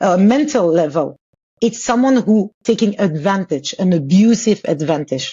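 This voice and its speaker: A woman's medium-pitched, somewhat breathy voice with a French accent, very wide pitch swings and very even loudness. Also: moderate pace. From Congo. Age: 40s. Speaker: author and abuse survivor. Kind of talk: podcast interview, personal testimony.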